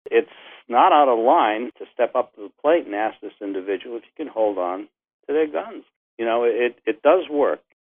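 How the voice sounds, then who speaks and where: Using a plain, everyday voice, a man talks at a moderate pace and medium pitch, his intonation lively and his loudness swinging widely. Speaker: retired gun shop owner. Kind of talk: interview.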